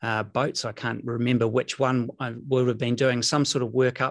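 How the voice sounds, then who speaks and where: Flat, monotone intonation over a quiet background. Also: man. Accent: New Zealand. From New Zealand, Rotorua. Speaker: former air force jet pilot. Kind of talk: interview, recounting personal story.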